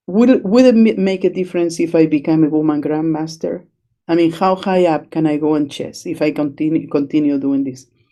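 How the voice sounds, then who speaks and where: A woman speaks fairly quickly with a Spanish accent, her pitch very deep and low. Her tone is dark and mellow, with ordinary pitch variation. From Chile. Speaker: chess educator. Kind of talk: interview. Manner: hesitant, many fillers.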